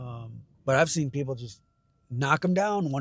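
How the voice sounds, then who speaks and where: A man with an American accent, medium-pitched and somewhat breathy, at a moderate pace on a very clean recording with a silent background. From Michigan. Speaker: travel vlogger. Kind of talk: casual driving vlog narration. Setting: in a car.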